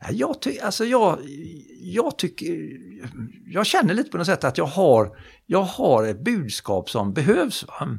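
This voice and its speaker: A man's high-pitched voice with very wide pitch swings, a fairly slow pace, and long, frequent pauses. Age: 70s. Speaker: psychologist and motivational speaker. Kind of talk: casual interview chat.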